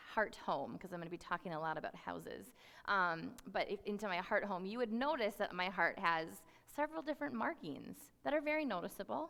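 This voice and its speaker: A woman's voice with vocal fry and very wide pitch swings comes through a very clean recording with a silent background. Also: medium pitch for a woman. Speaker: youth ministry worker. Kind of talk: sermon. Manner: fast.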